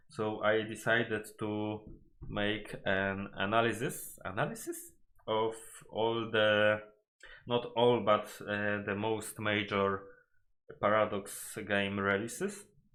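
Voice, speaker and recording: A man with a Polish accent speaks very slowly at a fairly low pitch, in a monotone, flat intonation. Long pauses break his speech often. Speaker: gaming YouTuber. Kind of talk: video game analysis commentary. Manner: halting, with frequent self-corrections.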